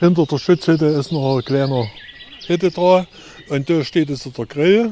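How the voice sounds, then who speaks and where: A man's fairly high-pitched voice with ordinary pitch variation over noticeable background noise. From Erzgebirge, Saxony. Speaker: hiking guide. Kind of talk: guided tour talk.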